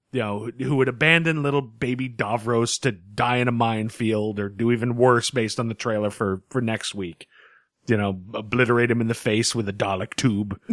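A man at a medium pitch and a fairly quick pace, on a very clean recording with a silent background. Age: 40s. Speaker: podcast co-host. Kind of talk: casual chat. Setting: home studio. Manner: animated.

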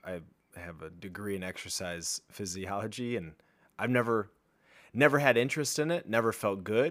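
An unremarkable speaking voice from a man, fairly low in pitch, at a moderate pace with lively intonation, on a very clean recording with a silent background. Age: 30s. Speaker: fitness podcast host. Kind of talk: casual chat.

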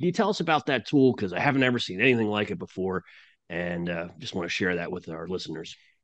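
This man's voice sits very deep and low, with ordinary pitch variation. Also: quiet background. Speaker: podcast host and analyst. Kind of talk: interview, conversational.

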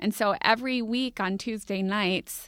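In an American accent, a woman with an unremarkable speaking voice talks at a fairly high pitch with fairly even intonation. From Minneapolis, US Midwest. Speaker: podcast producer and co-host. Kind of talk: casual interview chat. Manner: frequent laughter.

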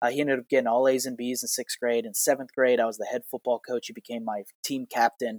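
A man with an American accent talks at a very fast pace, hardly pausing, in a monotone, flat delivery. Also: medium pitch for a man, dry, close sound with no echo. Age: 30s. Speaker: healthcare consultant and former teacher. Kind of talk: personal story monologue. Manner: halting.

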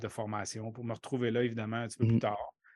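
The background is quiet. A man talks at a very fast pace in a medium pitch. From Quebec City, Limoilou. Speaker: baseball coach and professor. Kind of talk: casual interview.

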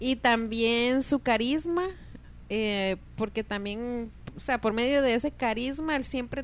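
A woman speaks with a plain, everyday voice. Her pitch is fairly high, with ordinary variation, and her pace is fairly slow. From Costa Rica. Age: 30s. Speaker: podcast guest, host's wife. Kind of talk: casual chat.

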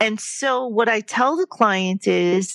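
An unremarkable speaking voice from a woman, medium in pitch with ordinary pitch variation, in a dry, close sound with no echo. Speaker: healthcare navigator and counselor. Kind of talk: interview.

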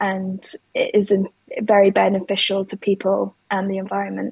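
At a fairly slow pace, a woman speaks with a London accent, the sound dry and close with no echo. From London, England. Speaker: ceramic designer and materials researcher. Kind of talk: interview.

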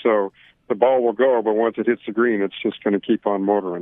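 Speaking at a moderate pace, a man uses a normal speaking voice with medium pitch and fairly even intonation. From Canada. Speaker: golf equipment company manager. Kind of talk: interview.

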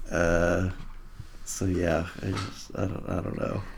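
A man's very deep, low voice with vocal fry and an American accent, at a fairly slow pace. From Kirkland, Washington. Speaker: movie podcast co-host. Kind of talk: casual chat.

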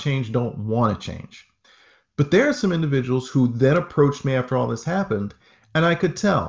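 Somewhat breathy, a man with medium pitch speaks with lively intonation. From northern Maine (Aroostook County). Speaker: pastor and racial equity advocate. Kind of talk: interview.

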